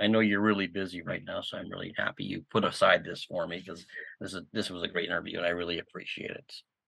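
At a fairly quick pace, a man with a normal speaking voice and a Canadian accent talks with ordinary pitch variation. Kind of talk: interview.

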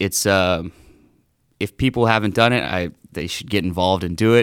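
On a very clean recording with a silent background, a man speaks in a very deep, low voice with an American accent and ordinary pitch variation. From Southeast Texas. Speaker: private lender. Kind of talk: casual interview. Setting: studio.

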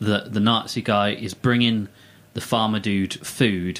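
Here is a man with an ordinary speaking voice. He has a fairly low pitch and speaks at a moderate pace. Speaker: co-host. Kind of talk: casual chat, joking. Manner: joking, playful.

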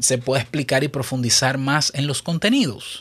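This is a man speaking. His pitch is fairly high. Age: 30s. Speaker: podcast host. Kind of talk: solo podcast monologue. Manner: conversational.

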